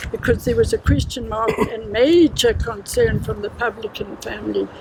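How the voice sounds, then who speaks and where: At a moderate pace, a woman talks while background noise is noticeable. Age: 90s. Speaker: inquest witness. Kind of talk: testimony.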